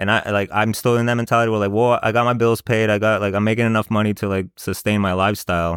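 At a very fast pace with hardly any pauses, a man speaks at a fairly low pitch in monotone, flat intonation with very even loudness, on a very clean recording with a silent background and a dry, close sound with no echo. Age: 30s. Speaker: podcast guest. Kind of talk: casual chat.

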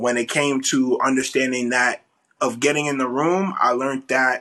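Against a quiet background, a man with an American accent talks in a fairly high, bright, sharp voice. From New York. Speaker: cinematographer. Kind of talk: casual chat.

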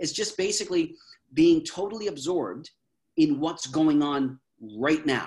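With a Canadian accent, a man speaks at a moderate pace and a fairly high pitch. He takes long, frequent pauses, and his pitch varies in an ordinary way. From Canada. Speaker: mental health speaker. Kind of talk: interview.

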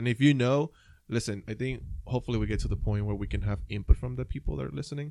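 In a Puerto Rican accent, a dark, mellow voice races at a very fast pace with lively intonation on a very clean recording with a silent background. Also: man, medium pitch for a man. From Puerto Rico. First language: Spanish. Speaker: podcast co-host. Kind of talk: casual chat.

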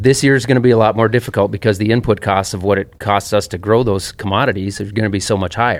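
A man with a Minnesota accent and a fairly low pitch talks at a very fast pace with fairly even intonation. The recording is very clean with a silent background. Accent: mild Minnesota. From US Midwest. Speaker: farmer. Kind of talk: casual chat. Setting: studio.

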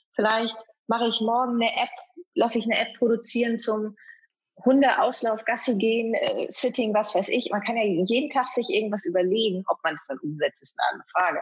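A woman with an unremarkable speaking voice talks at a fairly quick pace in a fairly high pitch. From East Frisia, northern Germany. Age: 30s. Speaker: event presenter and athlete. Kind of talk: interview.

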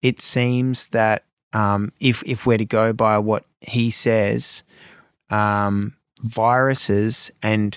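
In an Australian accent, a man talks at a medium pitch with monotone, flat intonation. The sound is dry and close with no echo, on a very clean recording with a silent background. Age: 40s. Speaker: supplement company co-founder. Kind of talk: interview. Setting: studio. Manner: hesitant with many fillers.

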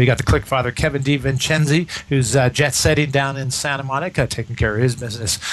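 Noticeable background noise runs behind a man speaking at a fairly high pitch. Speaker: radio host. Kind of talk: radio dj patter. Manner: chatty, upbeat host banter that rambles with fillers.

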